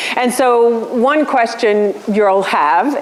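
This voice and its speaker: Recorded with audible room echo and noticeable background noise, a woman speaks at a fairly high pitch with lively intonation. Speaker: policy lecturer. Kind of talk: lecture. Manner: loud; animated. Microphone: room with bad acoustics.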